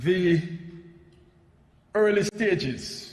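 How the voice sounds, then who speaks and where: With a Jamaican accent, a man speaks over noticeable background noise and audible room echo. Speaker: energy policy expert, panel speaker. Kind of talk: conference presentation. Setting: parliamentary assembly plenary session. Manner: formal.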